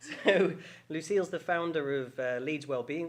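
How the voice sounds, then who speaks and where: An ordinary speaking voice from a man, moderately paced and with ordinary pitch variation. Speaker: podcast host. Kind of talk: podcast interview questions. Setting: studio.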